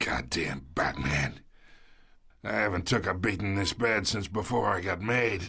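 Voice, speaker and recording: In a put-on character voice, a man speaks raspy and very deep at a moderate pace with lively intonation. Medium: video game. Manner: gruff, mocking.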